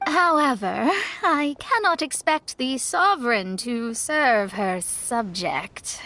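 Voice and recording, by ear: In a put-on character voice, a woman speaks slowly at a fairly high pitch, her tone bright and sharp and her intonation lively.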